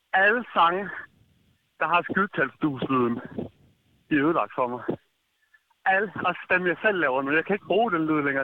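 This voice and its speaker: Lively intonation at a moderate pace. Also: man. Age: 20s. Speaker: listener leaving voicemail. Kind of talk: voicemail message. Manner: animated.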